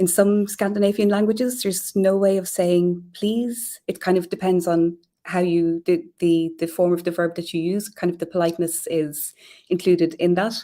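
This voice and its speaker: A woman's dark, mellow voice in an Irish accent, medium in pitch, at a moderate pace with fairly even intonation. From Ireland. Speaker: communications professional. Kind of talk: live stream interview.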